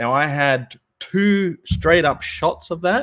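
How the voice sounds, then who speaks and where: A man is speaking here. He has an Australian accent. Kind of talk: casual chat.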